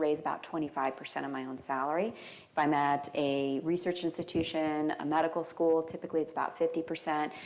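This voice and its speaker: A woman with an American accent talks at a fairly quick pace, her pitch very deep and low. Her intonation is fairly even, and the room echo is audible. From Arizona. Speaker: biomedical engineering professor. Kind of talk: lecture. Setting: church hall with audience. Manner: fast.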